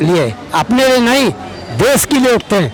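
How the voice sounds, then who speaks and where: A man's voice amid noticeable background noise. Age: 70s. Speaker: member of the public. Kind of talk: street interview.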